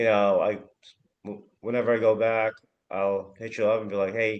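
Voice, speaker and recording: In an American accent, a man talks at a moderate pace, his fairly low voice monotone and flat. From Arizona, US. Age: 30s. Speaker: founder of a Filipino news media organization. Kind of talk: casual chat.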